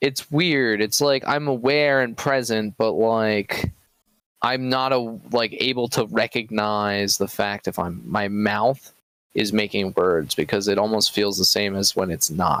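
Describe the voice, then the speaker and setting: On a very clean recording with a silent background, a man speaks at a fairly slow pace with a fairly low pitch, ordinary pitch variation and very even loudness. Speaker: podcast co-host. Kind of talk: casual chat. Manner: soft-spoken.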